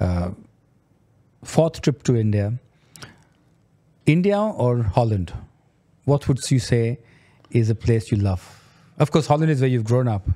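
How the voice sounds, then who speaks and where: A man speaks at a medium pitch with a dark, mellow tone and lively intonation. He goes fairly slowly, with long, frequent pauses. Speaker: podcast host. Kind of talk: interview. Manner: slow and soft.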